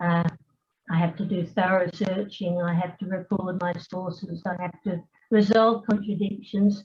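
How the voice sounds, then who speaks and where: A somewhat breathy voice in an Australian accent, moderate in pace with ordinary pitch variation. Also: woman. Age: 80s+. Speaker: retired scientist and family historian. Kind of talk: conference talk. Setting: hybrid symposium, remote. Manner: hesitant, many fillers.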